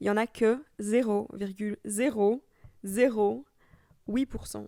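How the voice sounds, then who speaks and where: A woman's fairly high voice has a dark, mellow tone and ordinary pitch variation, with a dry, close sound with no echo on a very clean recording with a silent background. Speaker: podcaster. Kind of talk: casual chat. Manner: soft-spoken, calm.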